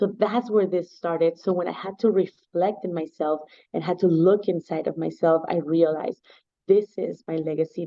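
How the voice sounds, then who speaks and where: Speech moves at a moderate pace. It carries a Spanish accent. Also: woman. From Mexico. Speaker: nonprofit foundation founder. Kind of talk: interview. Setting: video call.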